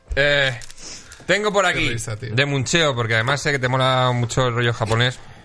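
Noticeable background noise and audible room echo surround a voice at a moderate pace, with ordinary pitch variation and very even loudness. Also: man, medium pitch for a man. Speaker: podcast host. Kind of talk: casual chat.

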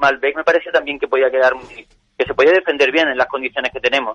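The speaker is a man with a fairly high pitch. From Andalusia, Spain (Rota, Cádiz). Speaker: winemaker. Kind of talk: interview. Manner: halting.

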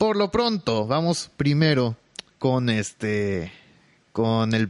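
A man's medium-pitched voice moves along very slowly. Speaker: podcaster and streamer. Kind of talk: casual solo podcast monologue. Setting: home bedroom at night. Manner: quieter and slower than usual.

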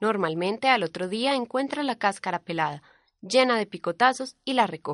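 With a normal speaking voice, a woman talks at a moderate pace with fairly high pitch and lively intonation, the sound dry and close with no echo against a quiet background. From Colombia, Antioquia. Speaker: reporter. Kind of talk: scripted narration.

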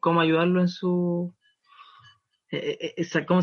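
A high-pitched man with a Chilean accent. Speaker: podcast co-host. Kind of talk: casual chat.

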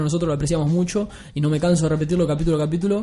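A man talks at a very fast pace with a Uruguayan accent. Room echo is audible. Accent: Rioplatense Spanish (Uruguayan). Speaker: podcast host. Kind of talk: casual chat. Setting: studio.

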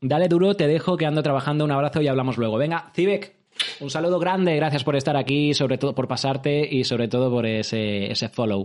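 A man's animated voice, fairly high-pitched, with ordinary pitch variation and a very fast pace. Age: 30s. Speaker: live streamer. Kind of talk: casual livestream chat.

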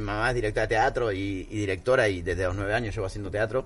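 A man with an Argentine accent talks at a very fast pace in a somewhat breathy voice. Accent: Rioplatense Argentine Spanish. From Argentina, Buenos Aires. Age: 30s. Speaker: actor. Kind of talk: casual chat.

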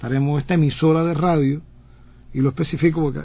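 Somewhat breathy and flat in intonation, a man talks at a fairly quick pace with a fairly high pitch. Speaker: radio host. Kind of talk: radio interview.

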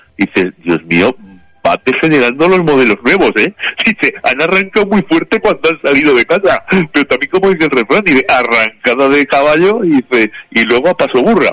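A man with vocal fry speaks at a fairly high pitch, his pitch swinging very widely. His loudness stays very even, and the sound is dry and close with no echo. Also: moderate pace. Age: 50s. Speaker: radio contributor. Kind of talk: casual chat.

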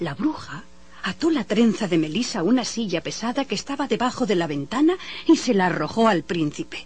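The recording captures reading aloud in a natural voice.

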